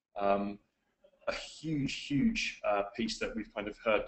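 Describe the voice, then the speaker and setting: This is a man speaking with an English accent. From England. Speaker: webinar presenter, client services executive. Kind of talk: webinar presentation. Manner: frequent fillers, hesitant.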